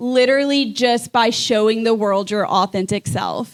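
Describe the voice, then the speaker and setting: A woman speaks at a moderate pace, her fairly high pitch showing ordinary variation. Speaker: podcast co-host. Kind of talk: live podcast conversation. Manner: loud.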